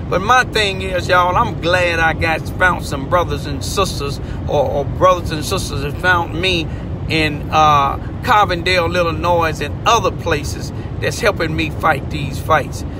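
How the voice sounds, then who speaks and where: A man speaking at a fairly slow pace, with a dry sound with no echo and noticeable background noise. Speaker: community commentator. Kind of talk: impassioned commentary. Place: car. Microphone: phone near.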